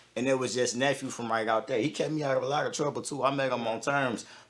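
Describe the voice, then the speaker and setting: Noticeable background noise sits under very fast speech that shows ordinary pitch variation. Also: man. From Detroit, with early childhood in southern Ontario. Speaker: rapper. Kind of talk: casual interview chat.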